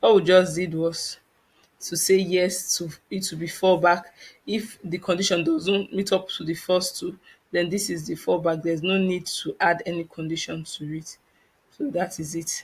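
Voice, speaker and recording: Over a silent background in a very clean recording, a woman speaks in a monotone, flat way, her fairly low voice somewhat breathy. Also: moderate pace. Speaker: tech learner and tutorial creator. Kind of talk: tutorial. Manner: hesitant with fillers.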